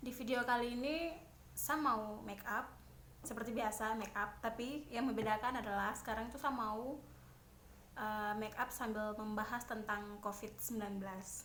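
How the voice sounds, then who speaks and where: Over noticeable background noise, the speaker talks at a moderate pace in a Papuan accent with fairly even intonation. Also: woman, fairly high pitch for a woman. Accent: Papuan Indonesian. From Papua, Indonesia. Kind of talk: casual talk to camera while doing makeup. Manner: chatty, informal.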